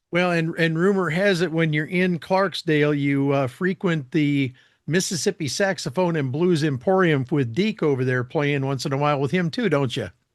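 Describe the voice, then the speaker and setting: A man with an ordinary speaking voice talks at a moderate pace with hardly any pauses, fairly high pitch and ordinary pitch variation. His loudness stays very even against a quiet background. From Michigan. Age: 60s. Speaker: podcast and radio host. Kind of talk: interview; scripted appeal for donations.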